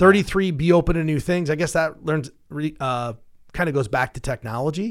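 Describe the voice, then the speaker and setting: Recorded very cleanly with a silent background, a man with a fairly high pitch, lively intonation and an ordinary speaking voice talks at a moderate pace. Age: 40s. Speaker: financial advisor, radio show host. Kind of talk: casual chat about personal finance. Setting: studio.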